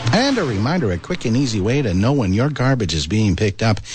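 A man's fairly quick speech with very wide pitch swings, over music in the background. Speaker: radio host. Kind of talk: radio announcer. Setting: studio. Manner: formal.

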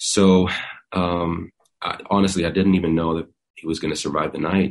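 Monotone and flat in intonation, a man speaks at a moderate pace. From Sweden. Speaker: singer-songwriter. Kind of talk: interview. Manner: halting, many fillers.

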